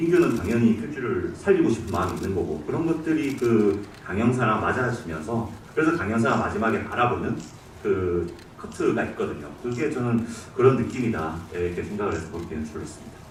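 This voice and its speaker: At a fairly quick pace, a man with a medium pitch talks in very wide pitch swings. The recording has noticeable background noise and audible room echo. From Daegu, South Korea. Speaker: film director. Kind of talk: audience Q&A at film screening. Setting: cinema stage with audience.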